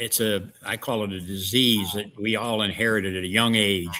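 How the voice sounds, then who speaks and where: In a St. Louis accent, a man speaks at a moderate pace with a fairly low pitch, a bright, sharp tone and monotone, flat intonation. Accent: Midwestern US (St. Louis). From St. Louis area, Missouri. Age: 70s. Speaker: wrestling promoter and historian. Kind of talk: interview. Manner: halting, many fillers.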